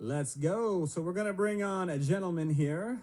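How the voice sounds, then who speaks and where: With an American accent, a man speaks at a moderate pace with lively intonation and a dark, mellow tone. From US Midwest, Iowa. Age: 40s. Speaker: consultant co-host of live event. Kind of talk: live stream chat.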